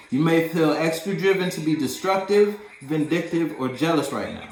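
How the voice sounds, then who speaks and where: A man with a high pitch speaks in an animated tone. Music plays in the background, and there is audible room echo. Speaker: tarot reader. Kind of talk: tarot reading. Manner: fast.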